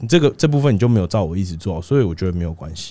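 Very deep and low, a man's dark, mellow voice comes through on a very clean recording with a silent background. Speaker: fitness coach. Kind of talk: casual chat.

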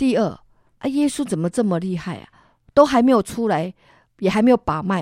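A woman's voice swings very widely in pitch on a very clean recording with a silent background and a dry, close sound with no echo. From Taiwan, Tainan. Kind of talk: testimony. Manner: animated.

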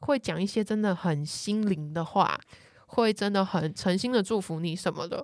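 A woman speaks in a plain, everyday voice at medium pitch and a moderate pace, with ordinary pitch variation, on a very clean recording with a silent background. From Taiwan. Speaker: columnist on Brazilian culture. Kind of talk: casual chat.

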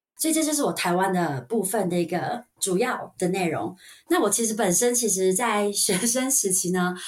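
In a Taiwanese accent, a woman speaks with lively intonation. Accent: Taiwanese Mandarin. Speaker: registered nurse. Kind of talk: casual interview chat.

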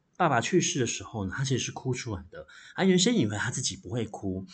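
Somewhat breathy, a man speaks at a fairly quick pace in a medium pitch with very wide pitch swings. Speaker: library podcast host and novelist. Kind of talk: solo book review monologue.

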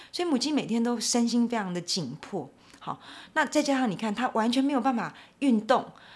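With lively intonation, a woman speaks fairly quickly at a high pitch. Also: very clean recording, silent background. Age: 50s. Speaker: animal welfare advocate. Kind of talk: interview.

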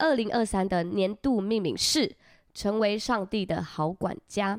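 Her pitch medium with ordinary variation, a woman speaks at a very slow pace. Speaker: podcast co-host. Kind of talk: casual chat.

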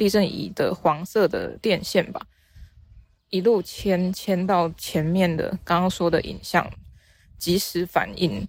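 Her intonation flat and monotone, a woman speaks at a very slow pace. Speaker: podcast host and novice art teacher. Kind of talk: casual solo monologue. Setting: outdoors, walking near fields. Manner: halting, with many fillers.

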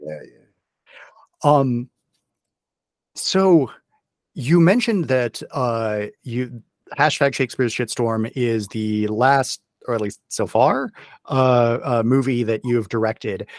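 Speaking very slowly with long, frequent pauses, a man with an American accent uses a medium pitch and ordinary pitch variation in a very clean recording with a silent background. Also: dry, close sound with no echo. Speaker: podcast host. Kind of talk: casual interview.

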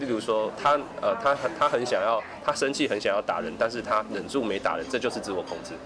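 With audible noise behind him, a man rattles along extremely fast, barely stopping for breath. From Taiwan, Kaohsiung. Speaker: counseling psychologist. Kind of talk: interview. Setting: cafe. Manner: halting.

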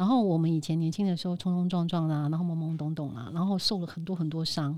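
A woman speaks with a Taiwanese accent in a dark, mellow, fairly low voice. The recording is very clean, with a silent background. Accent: Taiwanese Mandarin. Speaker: event host. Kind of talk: casual chat.

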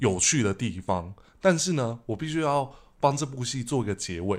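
Very wide pitch swings at a moderate pace on a very clean recording with a silent background. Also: man. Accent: Taiwanese. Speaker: podcast host. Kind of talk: casual chat; podcast outro.

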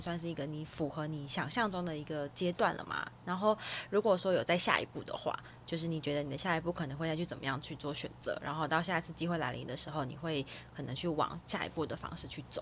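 Speaking at a very fast pace, a woman with a very deep, low pitch uses ordinary pitch variation. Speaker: podcast host. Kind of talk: podcast hosting, interview.

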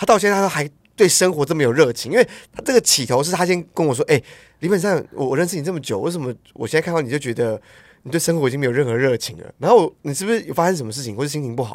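On a very clean recording with a silent background, a man with a fairly high pitch talks at a very fast pace with lively intonation. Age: 30s. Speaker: podcast co-host. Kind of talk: casual chat.

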